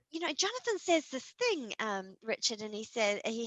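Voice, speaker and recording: A woman with a New Zealand accent speaks in a fairly high, animated voice at a moderate pace, her pitch swinging very widely, in a dry, close recording with no echo. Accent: New Zealand, squeaky. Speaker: horror author. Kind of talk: interview. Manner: animated, with many fillers.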